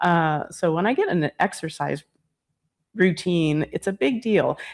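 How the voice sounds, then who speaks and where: Over a quiet background, a woman talks at a moderate pace in a plain, everyday voice with fairly low pitch. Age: 60s. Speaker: chiropractor and energy healer. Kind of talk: casual interview chat. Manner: conversational with many fillers.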